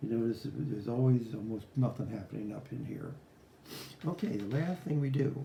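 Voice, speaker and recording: A man mumbles at a moderate pace with medium pitch and ordinary pitch variation over noticeable background noise. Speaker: guitar repair technician. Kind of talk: tutorial. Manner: mumbling; casual, rambling with fillers.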